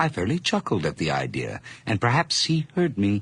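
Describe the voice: A man performs a put-on character voice at a fairly low pitch, with very wide pitch swings. His tone is fairly bright with a slightly husky edge, and he moves at a moderate pace.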